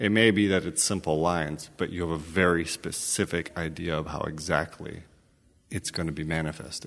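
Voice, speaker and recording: The intonation stays fairly even at a moderate pace, in an American accent. The background is quiet. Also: man, very deep, low pitch for a man. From United States. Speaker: podcast host. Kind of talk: interview.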